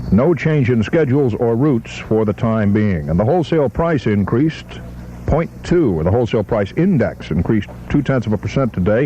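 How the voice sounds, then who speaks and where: Over noticeable background noise, a man talks at a fairly quick pace, his medium pitch making very wide swings. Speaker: radio newsreader. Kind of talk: radio news read.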